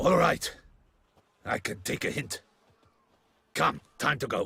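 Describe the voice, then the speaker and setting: A man puts on a raspy character voice. He delivers it at a fairly slow pace. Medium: video game. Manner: sneering, aggressive.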